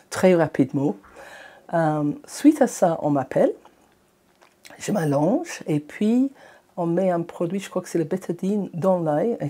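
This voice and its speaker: With a non-native accent, a woman speaks at a very slow pace in a fairly low, dark, mellow voice, her intonation lively and broken by long, frequent pauses. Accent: foreign accent in French. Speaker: eye patient. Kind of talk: patient testimony podcast. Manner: hesitant, conversational.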